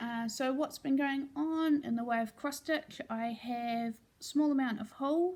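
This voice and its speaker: At a fairly slow pace, a woman speaks with high pitch. Her pitch variation is ordinary. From New Zealand. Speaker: crafting vlogger. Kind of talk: casual vlog update. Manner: casual with fillers.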